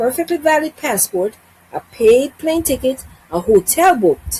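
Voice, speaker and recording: At a moderate pace and with very wide pitch swings, the voice sounds dry and close with no echo, though noticeable background noise is present. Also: woman. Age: 60s. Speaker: travel vlogger. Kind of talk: informational vlog.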